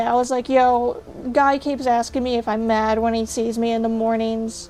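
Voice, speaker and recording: Fairly quick delivery and fairly even intonation over music in the background. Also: woman. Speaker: VTuber streamer. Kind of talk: casual chat. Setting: livestream. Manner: low-energy, flat.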